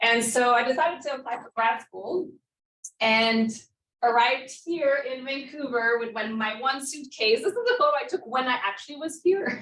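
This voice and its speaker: High-pitched female speech in a room with audible echo. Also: ordinary pitch variation, moderate pace. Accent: French Canadian. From Quebec, Montreal. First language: French. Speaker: professor. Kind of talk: lecture.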